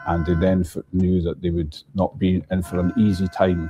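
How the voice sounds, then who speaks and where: A man with a strong Scottish accent speaks at a moderate pace over music in the background. His very deep, low pitch stays monotone and flat. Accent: thick Scottish. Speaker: bagpipe shop worker. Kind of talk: interview.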